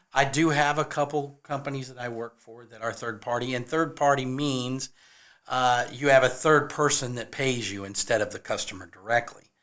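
A man speaks in a normal speaking voice with an American accent, medium pitch, and fairly even intonation. His pace is moderate, while his loudness swings widely. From California. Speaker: handyman and musician. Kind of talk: casual chat.

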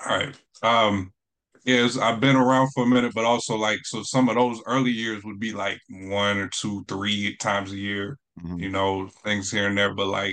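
A man speaks with an American accent at a fairly low pitch. His pace is moderate. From North Carolina. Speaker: spoken word poet. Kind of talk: interview. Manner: halting, many fillers.

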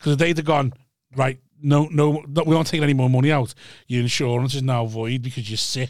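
In a British accent, a man speaks very fast at a medium pitch with fairly even intonation. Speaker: podcast co-host. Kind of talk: casual banter.

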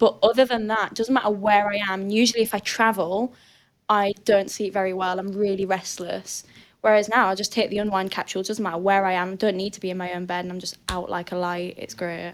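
A woman with a strong Northern English accent talks at a very fast pace in a medium pitch, her intonation monotone and flat. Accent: thick northern English. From northern England. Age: 20s. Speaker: weightlifter and coach. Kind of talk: casual chat.

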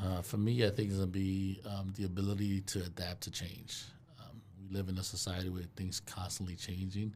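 A man with an American accent speaks at a fairly quick pace in a very deep, low voice that is somewhat breathy, his intonation monotone and flat. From Brooklyn, New York. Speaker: property management company owner. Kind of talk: casual chat.

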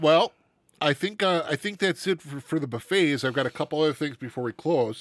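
Ordinary pitch variation and a fairly quick pace from a normal speaking voice. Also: man, fairly high pitch for a man, dry, close sound with no echo. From Wisconsin. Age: 40s. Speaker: podcast co-host. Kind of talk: casual chat.

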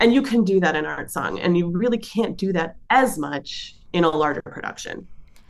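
Speaking at a moderate pace, a woman uses a normal speaking voice with medium pitch and lively intonation. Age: 40s. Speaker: soprano singer. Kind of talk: casual chat.

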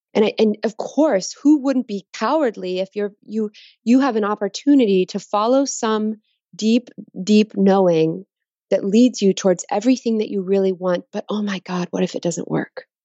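A woman with an American accent speaks at a medium pitch and a moderate pace, showing ordinary pitch variation. It is a plain, everyday voice. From Texas. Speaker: designer, author and painter. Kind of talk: interview.

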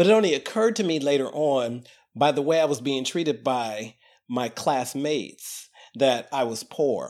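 A man talks in an ordinary speaking voice of fairly high pitch. His intonation is lively and his pace moderate. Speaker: archivist, consultant. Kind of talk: casual discussion. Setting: remote call.

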